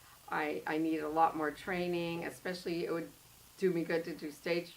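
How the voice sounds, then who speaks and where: A woman speaks in a fairly low pitch at a moderate pace, her intonation monotone and flat. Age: 60s. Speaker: actor. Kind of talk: casual chat. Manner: halting.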